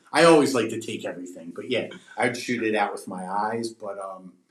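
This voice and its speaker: The speech goes at a fairly quick pace, with audible room echo. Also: man. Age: 40s. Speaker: pet treat business owner. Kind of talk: casual podcast interview.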